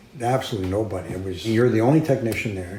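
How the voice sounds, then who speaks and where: This man's speech comes very fast. His voice carries audible room echo. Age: 70s. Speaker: former radar technician. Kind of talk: interview testimony. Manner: halting.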